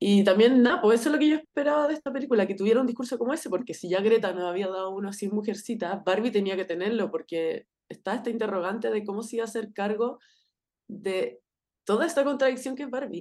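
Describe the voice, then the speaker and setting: In a Chilean accent, a woman talks at a very fast pace. Her pitch is fairly high and her intonation lively. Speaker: podcast co-host. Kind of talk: casual chat.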